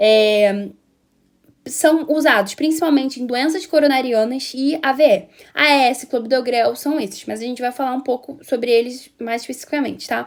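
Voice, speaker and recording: High-pitched female voice, moderate in tempo, its pitch varying in an ordinary way. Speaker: pharmacology student or teacher. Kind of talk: lecture. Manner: halting, many fillers and restarts.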